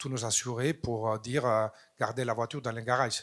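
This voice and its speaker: On a very clean recording with a silent background, a man with a non-native accent speaks at medium pitch and moderate pace in a flat monotone. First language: not French (speaking French). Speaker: audience member. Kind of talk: audience question.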